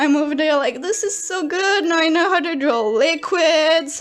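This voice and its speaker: A woman is heard with noticeable background noise in the recording. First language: French. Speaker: artist youtuber. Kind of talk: speedpaint commentary. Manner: halting.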